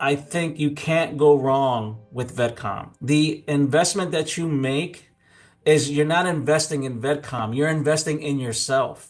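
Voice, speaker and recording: A man with an American accent speaks at a fairly slow pace in a fairly high pitch, his intonation fairly even, with music playing in the background. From Illinois. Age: 60s. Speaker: army veteran. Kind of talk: testimony. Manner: hesitant, many fillers.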